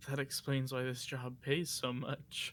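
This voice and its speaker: Mumbling in a put-on character voice, a man speaks at medium pitch and a fairly slow pace with monotone, flat intonation. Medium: actual play. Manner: dry, mumbling.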